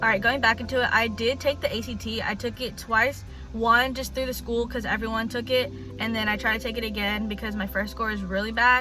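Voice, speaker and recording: Speaking fairly quickly with an American accent, a woman is heard amid noticeable background noise and audible room echo. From US South, Alabama. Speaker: student vlogger. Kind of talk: casual vlog talk. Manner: fast.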